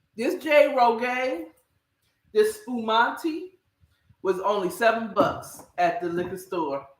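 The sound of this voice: A woman with a fairly high pitch speaks at a slow pace, her pitch varying in an ordinary way amid audible room echo.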